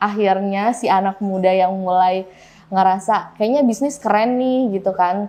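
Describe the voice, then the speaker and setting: A dark, mellow tone at a fairly slow pace, with fairly even intonation. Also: woman. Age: 20s. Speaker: food business owner. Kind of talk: interview testimony. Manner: casual, filler-heavy.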